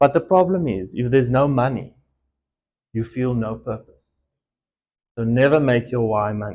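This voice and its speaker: With an Afrikaans accent, a man at a medium pitch speaks at a moderate pace with ordinary pitch variation and long, frequent pauses. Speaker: entrepreneur. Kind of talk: motivational talk. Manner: hesitant, with filler ums.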